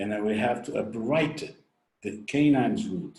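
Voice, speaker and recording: A man's somewhat breathy voice with audible room echo. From Brazil. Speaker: orthodontics professor. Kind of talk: lecture. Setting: webinar recording. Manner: halting.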